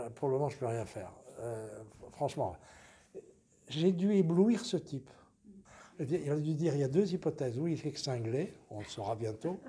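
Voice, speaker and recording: With a dark, mellow tone and a fairly high pitch, a man speaks at a moderate pace, somewhat breathy, with very wide pitch swings and long, frequent pauses. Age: 80s+. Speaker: lawyer. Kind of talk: interview.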